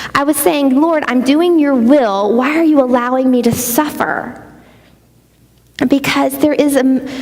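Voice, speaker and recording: A woman with a Southern US accent, high in pitch, at a fairly slow pace with ordinary pitch variation and very even loudness, plus audible room echo and noticeable background noise. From US Gulf Coast (Pensacola, Louisiana, Mississippi). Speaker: conference speaker. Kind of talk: sermon.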